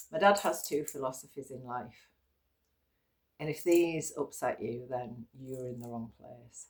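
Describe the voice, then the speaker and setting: A woman with an English accent talks at a fairly slow pace with ordinary pitch variation. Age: 50s. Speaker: yoga teacher. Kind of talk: casual vlog talk. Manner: low energy.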